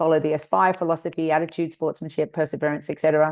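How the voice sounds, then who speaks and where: A woman speaks with an Australian accent at a fairly low pitch. The background is quiet. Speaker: nonprofit founder and Olympic kayaking coach. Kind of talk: webinar interview.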